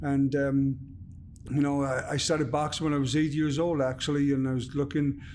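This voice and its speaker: With a South Wales Valleys accent, a man talks fairly quickly in a fairly high, flat monotone at very even loudness, with audible room echo. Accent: Welsh (South Wales valleys). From Wales, Merthyr Tydfil. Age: 40s. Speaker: former boxer and actor. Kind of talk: podcast interview. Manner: halting, many fillers.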